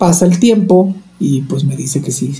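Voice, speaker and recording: A man's fairly high voice amid noticeable background noise and audible room echo. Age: 30s. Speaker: nurse and opera singer. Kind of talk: interview. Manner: talkative, energetic.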